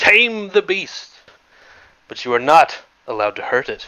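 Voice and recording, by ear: Putting on a character voice, a man speaks in a high pitch at a moderate pace.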